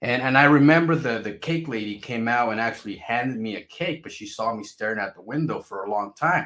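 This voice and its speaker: With a Spanish accent and a bright, sharp tone, a man speaks fairly quickly at a medium pitch, with ordinary pitch variation and hardly any pauses. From Mexico, raised in US (California) from age five. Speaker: crypto YouTuber. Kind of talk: casual vlog monologue. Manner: repetitive, stammering restarts.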